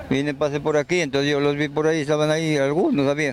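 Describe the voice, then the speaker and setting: A man speaks against noticeable background noise. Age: 70s. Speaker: local resident. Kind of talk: street interview. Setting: outdoors. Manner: halting.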